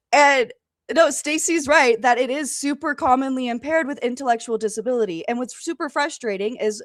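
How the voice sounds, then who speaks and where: Her voice is high-pitched and animated, with lively intonation. The woman speaks at a fairly quick pace. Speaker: podcast guest. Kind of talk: casual interview. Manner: halting, repeats words.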